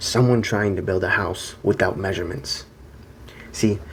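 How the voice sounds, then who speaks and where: The voice is soft-spoken and somewhat breathy. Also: man. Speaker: self-improvement video creator. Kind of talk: monologue to camera. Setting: hotel room.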